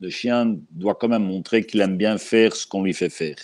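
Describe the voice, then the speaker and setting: A man speaks with a Belgian accent and a fairly low pitch. His pitch varies in an ordinary way. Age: 60s. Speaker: dog trainer. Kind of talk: interview. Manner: slow.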